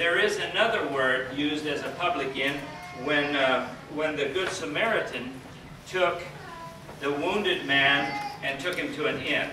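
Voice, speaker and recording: Music plays in the background as a man talks at a moderate pace with ordinary pitch variation, and room echo is audible. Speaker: Bible teacher. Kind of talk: sermon. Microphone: camera far.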